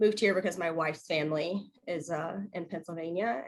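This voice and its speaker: With an American accent, a woman speaks at a moderate pace in a normal speaking voice at a medium pitch. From US South (Louisiana/Arkansas). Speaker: nurse. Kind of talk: panel discussion.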